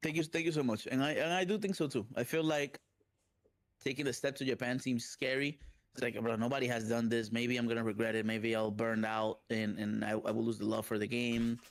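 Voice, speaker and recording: Talking at a fairly quick pace with a Spanish accent, a man keeps very even loudness, a medium pitch and ordinary pitch variation. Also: very clean recording, silent background. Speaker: professional fighting game player. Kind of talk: interview.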